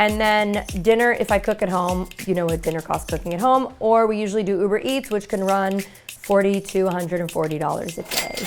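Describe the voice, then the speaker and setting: With an American accent, a woman speaks fairly quickly at a medium pitch, hardly pausing. Her tone is animated with ordinary pitch variation, over noticeable background noise. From New York City (Brooklyn, Bensonhurst). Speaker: lifestyle vlogger. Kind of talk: reality show confessional.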